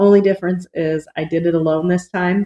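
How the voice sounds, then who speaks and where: A woman talks in an American accent with ordinary pitch variation. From United States. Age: 50s. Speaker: vlogger. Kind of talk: casual vlog introduction.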